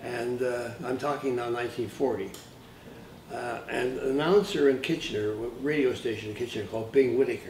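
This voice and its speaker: Audible room echo carries a man's medium-pitched voice as he speaks at a moderate pace with ordinary pitch variation. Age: 80s+. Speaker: composer and arranger. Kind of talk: interview reminiscence. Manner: halting, repeats words.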